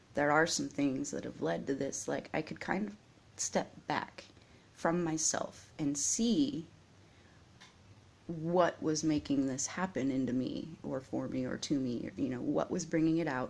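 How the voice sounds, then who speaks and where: This woman is soft-spoken, with a very deep, low pitch. Her pitch variation is ordinary and her pace is fairly slow. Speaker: vlogger. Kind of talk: personal vlog monologue. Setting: at home, early morning. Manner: quiet, soft-spoken.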